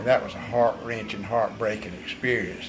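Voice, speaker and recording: A man with an eastern North Carolina accent over noticeable background noise. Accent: US Southern (eastern North Carolina). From North Carolina, Bladen County. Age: 70s. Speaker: vineyard owner. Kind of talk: interview.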